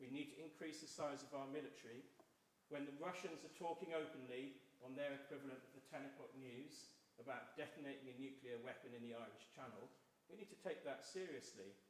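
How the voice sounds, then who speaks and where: In a Welsh accent, the speaker goes at a fairly quick pace with ordinary pitch variation and audible room echo. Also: man. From South Wales. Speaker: election candidate. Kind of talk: public debate. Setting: church hall hustings with audience.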